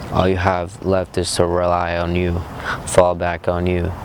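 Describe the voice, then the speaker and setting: With a calm tone, a man with a very deep, low pitch speaks at a fairly slow pace in a monotone, flat intonation over noticeable background noise. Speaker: motivational vlogger. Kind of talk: motivational monologue.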